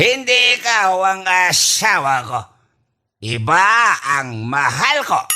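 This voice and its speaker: Using a put-on character voice, a man speaks in a raised, projected voice at high pitch and a very slow pace, with very wide pitch swings. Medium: audio drama. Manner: rambling, mixing English and Tagalog.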